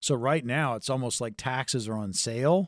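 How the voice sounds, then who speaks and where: A man with a normal speaking voice at medium pitch, at a fairly quick pace, in a dry, close sound with no echo. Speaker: radio host and consumer advocate. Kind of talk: sales pitch. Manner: urgent, punchy, repeating the phone number.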